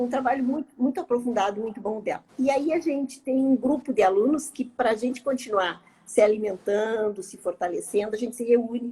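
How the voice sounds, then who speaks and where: A woman talks at a moderate pace, her tone dark and mellow. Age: 60s. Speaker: yoga and meditation teacher. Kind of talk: casual chat.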